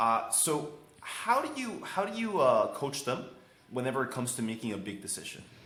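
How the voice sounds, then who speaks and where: A man's moderately paced speech comes with audible room echo and noticeable background noise. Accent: non-native. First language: not English. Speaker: podcast host, designer. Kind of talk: podcast interview. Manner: halting, searching for words.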